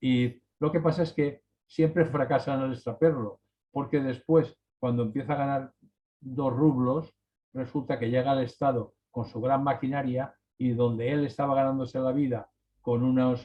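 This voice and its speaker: Medium-pitched male speech at a moderate pace with fairly even intonation. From Spain, Valencia region. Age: 60s. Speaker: writer. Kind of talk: casual chat. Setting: video call. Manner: halting.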